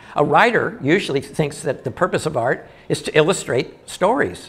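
There is some breathiness in the man's voice. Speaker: stand-up comic and artist. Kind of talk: stand-up comedy. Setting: live audience room. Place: stage. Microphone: handheld.

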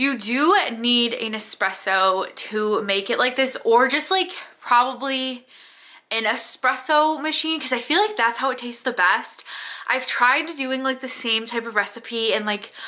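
Her intonation is lively as this woman speaks in a raised, projected voice. The background is quiet. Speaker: vlogger. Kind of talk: casual vlog chat. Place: home room. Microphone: phone near.

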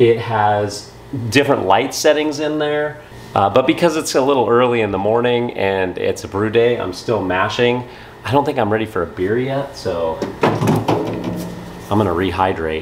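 Light background noise sits behind a man speaking at a moderate pace with lively intonation. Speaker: home brewer vlogger. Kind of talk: casual vlog chat. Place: garage. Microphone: phone near.

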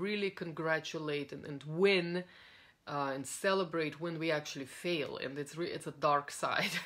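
Ordinary pitch variation marks this woman's fairly low voice. She speaks at a moderate pace. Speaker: coach. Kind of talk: casual talk to a coaching audience. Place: home room. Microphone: phone near.

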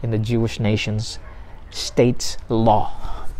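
Over light background noise, a man is speaking. His pace is very slow. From Philippines. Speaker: pastor. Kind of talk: sermon. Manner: halting. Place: garden. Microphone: lapel.

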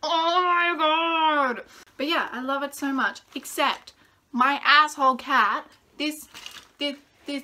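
Raising and projecting her voice, a woman speaks at a very slow pace with a high pitch, a bright, sharp tone and ordinary pitch variation. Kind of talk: casual talk to camera. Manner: upbeat, excitable.

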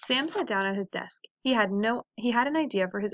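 An unforced reading voice is heard, with the background quiet.

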